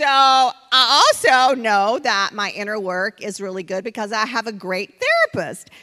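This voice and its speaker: Noticeable background noise behind a woman's high-pitched voice at a moderate pace. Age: 60s. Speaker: event host and co-founder. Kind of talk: event introduction speech. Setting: stage with audience.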